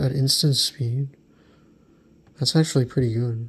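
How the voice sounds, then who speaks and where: A soft-spoken man talks at a medium pitch. His voice is somewhat breathy. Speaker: card collector YouTuber. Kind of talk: ASMR card review.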